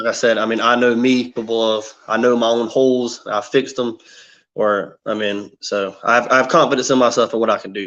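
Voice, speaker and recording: A man's medium-pitched voice with a slight Southern US accent, fairly even intonation and a fairly quick pace. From South Carolina, near Myrtle Beach. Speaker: competitive martial artist. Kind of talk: casual interview.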